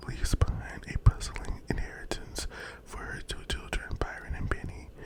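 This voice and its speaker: A whisper at a moderate pace comes through over noticeable background noise. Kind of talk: casual talk to camera, book recommendations ramble. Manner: casual, conversational, chatty.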